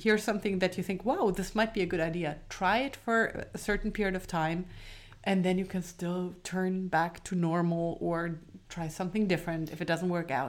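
A woman speaks in a German accent at medium pitch. Her pace is moderate, and her pitch varies in an ordinary way. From southern Germany. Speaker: parenting podcast co-host, mother. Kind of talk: casual chat.

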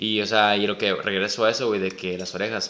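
A man's fairly low voice, very fast, with a bright, sharp tone. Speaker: podcast co-host. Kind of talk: casual chat.

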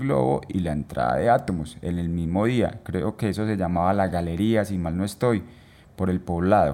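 This man speaks with an Antioquian accent. His tone is dark and mellow. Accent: Colombian paisa Spanish. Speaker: musician and photographer, podcast co-host. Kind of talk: casual chat. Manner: halting, frequent repetitions.

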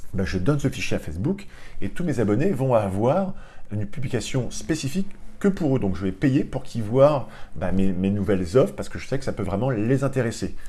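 The voice is somewhat breathy with a dark, mellow tone, moving at a fairly quick pace with very wide pitch swings. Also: man, medium pitch for a man. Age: 40s. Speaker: online training entrepreneur and business school lecturer. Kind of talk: tutorial. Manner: casual and hesitant, with many fillers.

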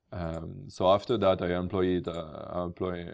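Very deep, low male speech on a very clean recording, silent background. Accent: French. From France. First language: French. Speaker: podcast host. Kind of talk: casual interview. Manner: halting, many fillers.

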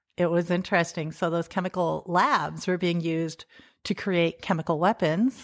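A woman with a fairly low voice speaks at a moderate pace, her intonation fairly even and her loudness very even. The sound is dry and close with no echo, a very clean recording over a silent background. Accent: American. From US Midwest, South Dakota (rural, near Salem). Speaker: entrepreneur and app developer. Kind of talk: interview. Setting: home kitchen.

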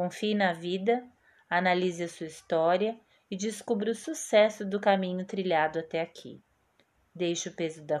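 This woman talks at a fairly slow pace with a medium pitch and ordinary pitch variation. She has an ordinary speaking voice. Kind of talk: poetry reading aloud. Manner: calm, slow, soothing and reflective.

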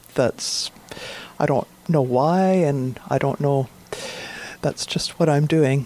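Amid noticeable background noise, a woman with a very deep, low pitch speaks at a very slow pace with long, frequent pauses, very even loudness, and ordinary pitch variation. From north central British Columbia, Vanderhoof area. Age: 60s. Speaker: visual artist. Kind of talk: radio interview. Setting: radio studio.

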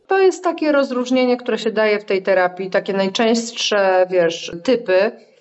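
An ordinary speaking voice moves at a moderate pace, with lively intonation and very even loudness. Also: woman, fairly high pitch for a woman. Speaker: psychotherapist. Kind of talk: interview.

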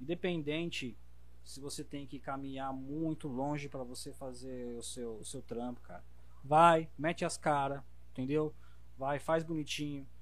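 Audible room echo surrounds a man with a fairly high pitch and fairly even intonation. He talks at a fairly slow pace with big swings in loudness. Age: 30s. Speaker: body piercer. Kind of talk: casual chat.

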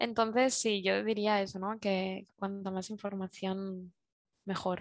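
Against a quiet background, a woman of medium pitch speaks very slowly in a monotone, flat intonation. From Spain, Zaragoza. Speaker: industrial designer, circular economy consultant. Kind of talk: interview. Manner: halting.

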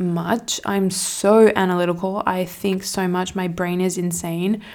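A woman's medium-pitched voice with an Australian accent. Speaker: podcast host and feminine energetics mentor. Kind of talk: casual Q&A monologue.

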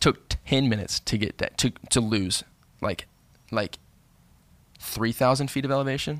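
A man of medium pitch with vocal fry, a moderate pace broken by long, frequent pauses, ordinary pitch variation, and a dry, close sound with no echo. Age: 20s. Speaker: podcast guest, host's younger cousin. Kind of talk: casual chat. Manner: halting, restarts sentences.

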